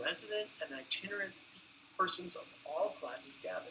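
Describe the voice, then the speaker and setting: A man speaks at a moderate pace. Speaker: anthropology professor. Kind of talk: academic lecture. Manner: halting.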